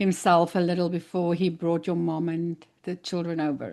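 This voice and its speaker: Against a quiet background, a woman with a South African accent speaks in a fairly low voice with a dark, mellow tone. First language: Afrikaans. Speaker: podcast host. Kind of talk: interview.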